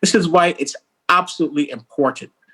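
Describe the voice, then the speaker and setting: With a Caribbean accent, a man speaks in a bright, sharp tone, the sound dry and close with no echo. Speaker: senior UN official. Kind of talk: formal speech. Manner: formal.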